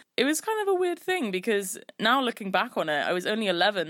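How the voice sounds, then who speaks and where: A woman speaks with a London accent. Her intonation is lively. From London, England. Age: 20s. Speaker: podcast host. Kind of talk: personal storytelling monologue.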